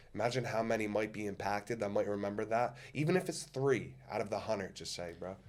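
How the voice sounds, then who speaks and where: Talking at a very fast pace with hardly any pauses, a man with a strong New Jersey accent sounds animated, his intonation lively. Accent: strong New Jersey American. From US, New Jersey. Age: 20s. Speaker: public figure and motivational speaker. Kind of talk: podcast interview.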